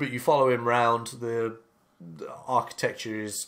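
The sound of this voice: Reading done in an unforced voice.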